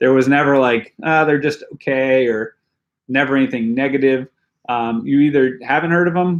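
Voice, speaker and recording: A man talks at a medium pitch and a moderate pace with ordinary pitch variation, in an unremarkable speaking voice. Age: 40s. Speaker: pro mountain biker. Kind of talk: live stream Q&A chat. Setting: home basement. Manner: casual, filler-heavy.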